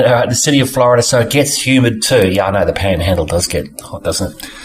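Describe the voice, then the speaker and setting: Amid noticeable background noise, a man with an Australian accent talks at a very fast pace and medium pitch with lively intonation. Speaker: podcast host. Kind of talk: reading a listener letter aloud.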